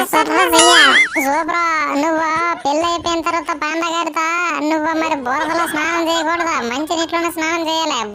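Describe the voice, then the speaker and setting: At a moderate pace, a cartoonish character voice squeaks at an extremely high pitch over clear background noise. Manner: punctuates speech with a squealy catchphrase.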